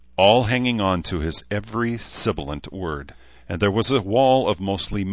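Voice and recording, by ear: In a natural voice, the words are read aloud.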